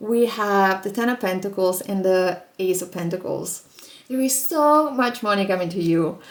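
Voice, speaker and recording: Using ordinary pitch variation, a woman speaks at medium pitch and a moderate pace. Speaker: tarot reader. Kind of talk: tarot reading video. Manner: animated.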